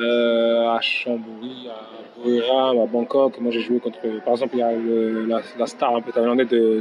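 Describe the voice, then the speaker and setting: Noticeable background noise fills the recording. Through it, a man speaks at a medium pitch. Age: 30s. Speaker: professional footballer. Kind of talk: interview. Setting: in person. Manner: halting.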